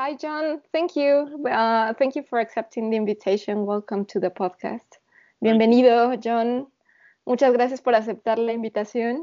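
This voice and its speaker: A woman with a Spanish accent speaks at a moderate pace and a fairly high pitch, with ordinary pitch variation. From Mexico. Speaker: podcast host in classical music industry. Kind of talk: bilingual interview.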